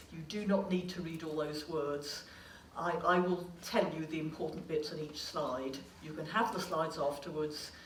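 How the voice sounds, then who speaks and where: Through audible room echo and noticeable background noise comes a woman's very deep, low voice with an English accent. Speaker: clinical psychologist. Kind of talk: lecture. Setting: stage with audience. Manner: fast.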